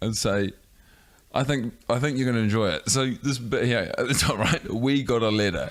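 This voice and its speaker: A man talks with a New Zealand accent at a moderate pace. His loudness stays very even. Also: medium pitch for a man, ordinary pitch variation. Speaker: podcast co-host. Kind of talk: casual chat.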